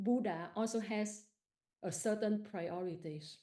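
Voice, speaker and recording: A woman speaks with a Vietnamese accent at a fairly slow pace. Her medium-pitched voice has a dark, mellow tone. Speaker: participant asking a question at a live meditation session. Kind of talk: question from audience in live Q&A. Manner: halting.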